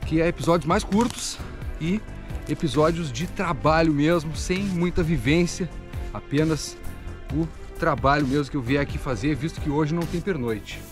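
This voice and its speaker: Over clear background music, a man talks at a moderate pace with long, frequent pauses. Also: dry sound with no echo. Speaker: bushcraft vlogger. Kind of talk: casual vlog chat. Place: forest. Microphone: phone near.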